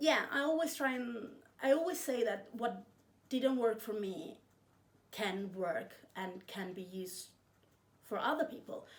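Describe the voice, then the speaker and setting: A woman with a fairly high pitch talks at a fairly slow pace, her pitch swinging very widely, with long, frequent pauses. The room echo is audible. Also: big swings in loudness. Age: 20s. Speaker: book vlogger. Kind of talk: casual vlog chat.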